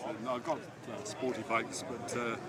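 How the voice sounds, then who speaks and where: There is noticeable background noise and audible room echo. A man speaks at a moderate pace and medium pitch. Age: 80s+. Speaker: motorcycle enthusiast. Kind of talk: casual chat. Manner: halting.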